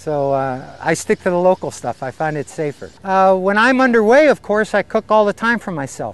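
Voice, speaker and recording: A man's high-pitched voice at a moderate pace, with very wide pitch swings and hardly any pauses. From US, Pittsburgh, Pennsylvania. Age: 60s. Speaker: long-distance sailor. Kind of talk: casual interview. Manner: halting, many fillers and repeats.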